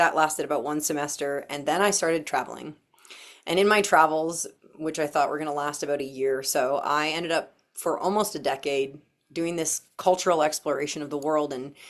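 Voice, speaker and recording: A woman with a Canadian accent talks at a fairly quick pace in a very deep, low voice. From Canada, Windsor, Ontario. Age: 40s. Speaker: workshop leader and stylist. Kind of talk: workshop talk, personal backstory. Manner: casual, repeats words.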